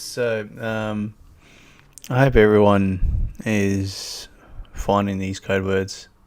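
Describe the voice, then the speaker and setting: In a strong Australian accent, a man with a fairly low voice talks very slowly in a flat monotone. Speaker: YouTuber. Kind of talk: live stream chat. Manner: casual, hesitant with many fillers.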